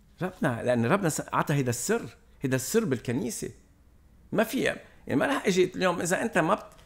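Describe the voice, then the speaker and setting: At a fairly quick pace, a man with a high pitch talks in very wide pitch swings. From Lebanon. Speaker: priest. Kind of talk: casual chat. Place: home room. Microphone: studio mic.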